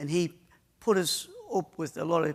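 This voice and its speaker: With a strong northeast English accent, a man talks in a fairly even intonation. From northeast England. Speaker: IT service provider. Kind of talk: conference talk. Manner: halting.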